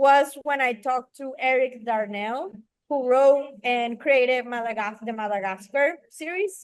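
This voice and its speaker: A woman with a Spanish accent speaks at a high pitch. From Venezuela. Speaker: film director and writer. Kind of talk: interview. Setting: podcast.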